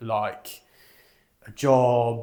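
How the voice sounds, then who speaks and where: The speaker talks with a British accent and fairly even intonation. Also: man. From United Kingdom. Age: 20s. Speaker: financial advisor, channel host. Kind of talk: talking-head introduction video.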